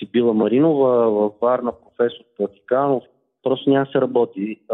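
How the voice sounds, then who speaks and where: A man speaks at a moderate pace with a medium pitch. His intonation stays flat and monotone. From Bulgaria, Velingrad. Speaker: transplant athlete, former journalist. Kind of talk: phone interview.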